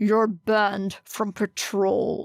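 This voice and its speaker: A woman puts on a gruff, growling character voice at a medium pitch. Her intonation stays monotone and flat. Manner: stern, angry.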